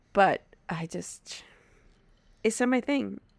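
An American accent marks this woman's speech. She sounds animated. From Wisconsin. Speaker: podcast co-host. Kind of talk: casual chat. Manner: giggly, animated.

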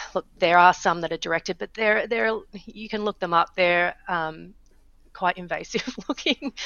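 Speaking at a moderate pace, a woman with a medium pitch and an Australian accent uses ordinary pitch variation. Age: 40s. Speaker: startup founder. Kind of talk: interview.

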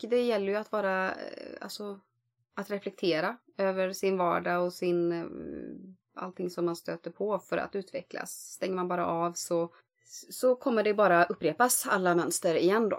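At a fairly slow pace and medium pitch, a woman talks in an unremarkable speaking voice on a very clean recording with a silent background. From rural Sweden. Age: 40s. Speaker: podcast host. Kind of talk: casual chat.

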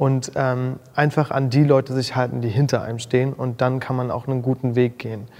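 A man speaks at medium pitch and a fairly quick pace. His intonation is monotone and flat, with hardly any pauses. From Mecklenburg-Vorpommern, northeastern Germany. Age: 20s. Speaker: make-up artist and influencer. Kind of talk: casual interview chat.

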